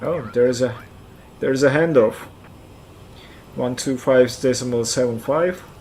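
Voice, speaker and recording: Against noticeable background noise, a man speaks at a medium pitch with fairly even intonation and long, frequent pauses. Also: moderate pace. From central Turkey (Kayseri). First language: Turkish. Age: 40s. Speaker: flight sim streamer. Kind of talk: live stream chat. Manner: halting, repeats words.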